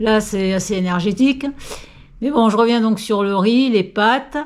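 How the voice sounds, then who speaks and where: A woman talks in a fairly high voice with fairly even intonation. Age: 60s. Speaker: senior fitness coach. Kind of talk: tutorial. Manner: casual, hesitant with fillers.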